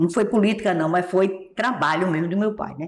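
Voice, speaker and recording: A woman with a Pernambuco accent speaks at a moderate pace in a medium pitch. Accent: Pernambuco Brazilian Portuguese. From Pernambuco, Brazilian Northeast. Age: 70s. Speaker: singer and accordionist. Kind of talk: interview.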